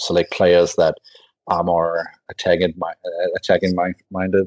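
A man with a Danish accent talks at a moderate pace. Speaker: football blogger. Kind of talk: casual chat. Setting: remote call.

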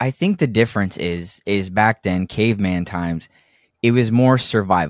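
In an ordinary speaking voice with an American accent, a man talks at a moderate pace and fairly low pitch with lively intonation, in a dry, close sound with no echo on a very clean recording with a silent background. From Texas. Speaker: podcast co-host. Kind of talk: casual chat.

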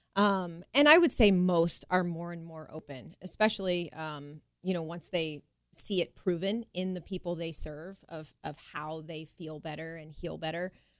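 A woman with an unremarkable speaking voice talks fairly slowly at a fairly low pitch, with hardly any pauses. Her intonation is fairly even, while her loudness swings widely. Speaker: chiropractor. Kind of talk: radio interview.

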